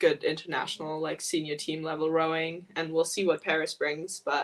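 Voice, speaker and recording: A woman with an American accent speaks at a moderate pace and a fairly low pitch. Her intonation is monotone and flat. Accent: American-sounding English. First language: German. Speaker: elite rower. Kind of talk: casual interview chat. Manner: hesitant, many fillers.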